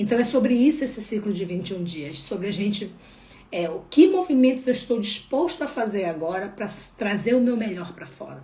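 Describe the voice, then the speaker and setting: With a Pará accent, a woman talks in an animated tone at a fairly quick pace and fairly high pitch, with very wide pitch swings and big swings in loudness, amid audible room echo and noticeable background noise. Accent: northern Brazilian (Pará). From Brazil, Belém do Pará. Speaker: holistic therapist. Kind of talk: spiritual live talk.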